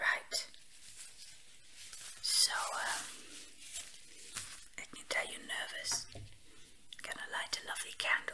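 A man whispers at a fairly slow pace, leaving long, frequent pauses. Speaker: ASMR roleplay caretaker. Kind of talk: ASMR roleplay, soft helper talking to the listener. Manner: soft-spoken, hesitant, with filler words. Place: home room.

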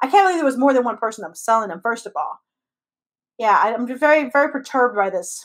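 Over a quiet background, a woman with a high voice speaks at a very fast pace, with very wide pitch swings and big swings in loudness. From US, Mexican American family. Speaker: comedian podcast co-host. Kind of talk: casual chat. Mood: amused disbelief, animated. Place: home room. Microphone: video call.

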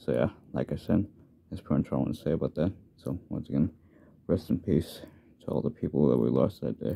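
A man's very deep, low voice in an American accent, very fast with long, frequent pauses, ordinary pitch variation and vocal fry. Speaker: YouTuber. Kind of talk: personal video message. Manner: halting, repetitive.

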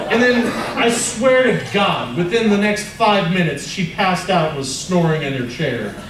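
Speaking at a moderate pace with lively intonation, a man with a high pitch is heard over noticeable background noise and audible room echo. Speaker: stand-up comedian. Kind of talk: stand-up comedy set. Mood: mock anger, profane. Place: stage.

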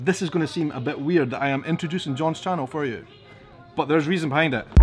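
Over faint music in the background, a man with a Scottish accent talks at a very fast pace with ordinary pitch variation. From Edinburgh, Scotland. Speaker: YouTuber, interviewer. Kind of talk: casual talk to camera. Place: bar. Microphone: phone near.

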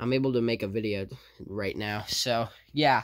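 The man talks at a moderate pace, and his pitch varies in an ordinary way. Nothing much is heard behind him. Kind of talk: casual vlog chat. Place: home room. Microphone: phone near.

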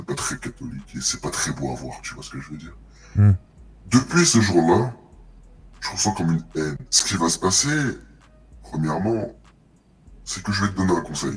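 Using a put-on character voice, a man talks at a moderate pace with a very deep, low pitch and long, frequent pauses. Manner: slow, menacing, confiding.

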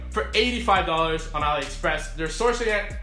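Faint background music and audible room echo. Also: man. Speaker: e-commerce coach. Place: home room.

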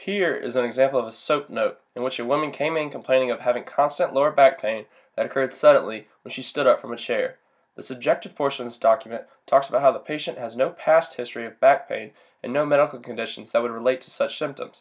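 With an American accent, a man talks at a very fast pace, his loudness swinging widely. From US South. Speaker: university student. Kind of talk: class presentation. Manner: formal.

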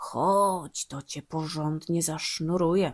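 Using a put-on character voice, a woman speaks fairly slowly in a fairly low, raspy voice with fairly even intonation. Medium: read story. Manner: falsely sweet, cunning.

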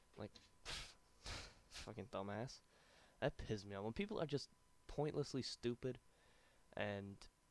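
A man speaks at a medium pitch with ordinary pitch variation. His pace is fairly slow, with long, frequent pauses. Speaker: YouTube gaming commentator. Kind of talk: gameplay commentary rant. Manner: casual, annoyed.

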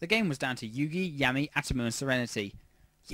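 What we hear is plain reading aloud.

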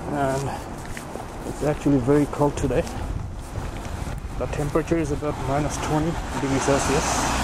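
Loud noise sits in the background while a man speaks at a moderate pace. The sound is dry with no echo. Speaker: walking tour vlogger. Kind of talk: casual vlog narration. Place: street. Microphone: phone near.

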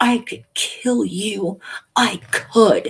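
A put-on character voice, fairly high in pitch, hisses and growls. Its tone is menacing. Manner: menacing, hissing with rage.

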